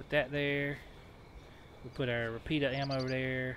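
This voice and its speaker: A man with a Southern US accent talks at a fairly slow pace. His intonation is monotone and flat. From US South. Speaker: video game streamer. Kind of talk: live gameplay commentary. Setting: home.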